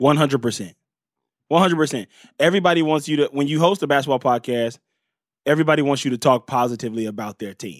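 The speech comes at a very fast pace with ordinary pitch variation, broken by long, frequent pauses. The sound is dry and close with no echo, on a very clean recording with a silent background. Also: man, fairly high pitch for a man. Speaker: comedian. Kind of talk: casual chat. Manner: animated.

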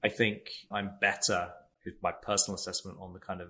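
A bright, sharp voice with an American accent moves at a moderate pace on a very clean recording with a silent background. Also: man. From England. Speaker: tech company CEO and father. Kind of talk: interview conversation. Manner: hesitant, many fillers.

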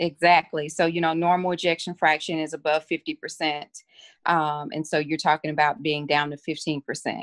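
A woman with a very deep, low pitch speaks with fairly even intonation in a dry, close sound with no echo. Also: moderate pace. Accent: Southern US. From Mississippi. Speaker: physician. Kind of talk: interview.

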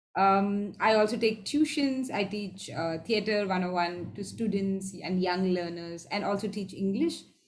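The delivery is fairly slow. Background music plays throughout. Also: woman. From southern India. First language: Tamil and Malayalam. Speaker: improv performer and teacher. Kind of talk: casual interview. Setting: video call.

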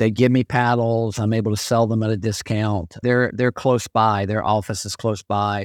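A man talks in an ordinary speaking voice at medium pitch with fairly even intonation. The sound is dry and close with no echo, over a quiet background. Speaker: retired senior pickleball champion. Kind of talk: interview.

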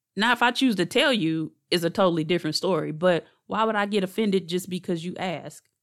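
Recorded very clean over a silent background, a woman talks at medium pitch with ordinary pitch variation. Her pace is fairly quick, with hardly any pauses. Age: 40s. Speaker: podcast host, therapist and doula. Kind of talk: solo podcast monologue. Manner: casual, animated.

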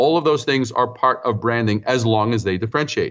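A man speaks at a medium pitch with a New York accent. His intonation is lively. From New York City (Brooklyn, Queens). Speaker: branding consultant and author. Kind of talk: interview.

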